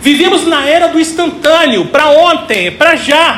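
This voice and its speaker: The speech comes at a fairly slow pace, with noticeable background noise. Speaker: pastor. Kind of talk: sermon.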